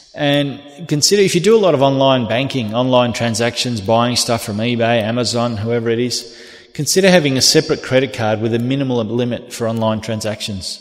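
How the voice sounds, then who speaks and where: With an Australian accent, a man at a medium pitch talks at a fairly quick pace with hardly any pauses and ordinary pitch variation, and there is audible room echo. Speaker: police officer. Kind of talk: lecture.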